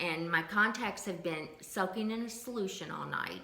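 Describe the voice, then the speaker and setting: Against noticeable background noise and audible room echo, a woman with a medium pitch speaks at a moderate pace with lively intonation. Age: 60s. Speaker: lifestyle vlogger sharing health journey. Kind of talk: casual vlog monologue.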